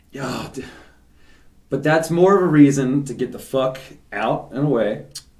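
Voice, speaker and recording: A man's medium-pitched voice with an American accent, moderate in pace with long, frequent pauses, fairly even in intonation but with big swings in loudness, amid audible room echo. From Philadelphia, Roxborough. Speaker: podcast host. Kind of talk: casual chat.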